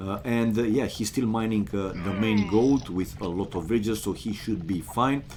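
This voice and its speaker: Someone with a non-native accent talks as music plays in the background. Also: man. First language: not English. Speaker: game streamer and commentator. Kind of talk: casual chat with viewers; live game commentary. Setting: live stream. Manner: halting, many fillers.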